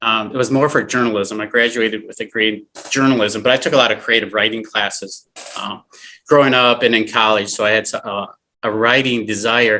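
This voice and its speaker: A man with a slight northern US accent speaks at a medium pitch. His tone is bright and sharp, his intonation monotone and flat. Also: fairly quick pace. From Flint, Michigan. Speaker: actor and filmmaker. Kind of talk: casual chat. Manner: halting.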